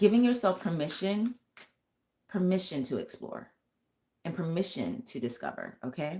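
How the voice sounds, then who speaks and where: With vocal fry and a medium pitch, a woman talks at a moderate pace using very wide pitch swings and long, frequent pauses. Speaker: tarot reader and vocal coach. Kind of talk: live stream tarot reading. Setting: live stream.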